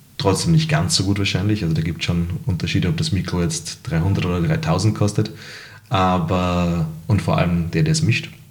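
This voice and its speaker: A man speaks with a very deep, low pitch and very wide pitch swings, with noticeable background noise and audible room echo. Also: moderate pace. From Salzburg, Austria. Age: 30s. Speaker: restaurant owner and musician. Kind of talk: casual interview.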